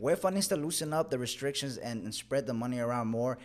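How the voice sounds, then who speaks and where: Words rush out extremely fast. The voice belongs to a man. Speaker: podcast co-host. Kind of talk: casual sports chat.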